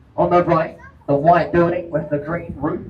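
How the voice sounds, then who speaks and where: There is noticeable background noise behind this man's voice. He speaks with a monotone, flat intonation. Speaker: boat tour guide. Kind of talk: live tour commentary. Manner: deliberately slow.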